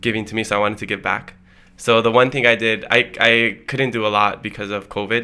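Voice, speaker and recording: Speaking at a very fast pace, a man with a Hawaiian accent keeps a medium pitch in a monotone, flat intonation. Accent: Hawaii local English. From Hawaii, Hilo on the Big Island. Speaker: podcast host, guest. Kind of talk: casual podcast interview.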